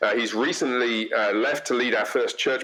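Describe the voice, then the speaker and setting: A man speaks at a moderate pace with an English accent. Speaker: pastor. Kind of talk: podcast interview.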